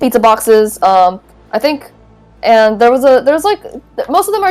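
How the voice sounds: Reading done in a natural voice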